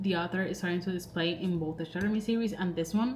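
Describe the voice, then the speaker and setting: A woman with a non-native accent speaks in a fairly low voice with monotone, flat intonation. There is audible room echo. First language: not English. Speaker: book vlogger. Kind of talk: casual vlog talk to camera. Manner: rambling, filler-heavy.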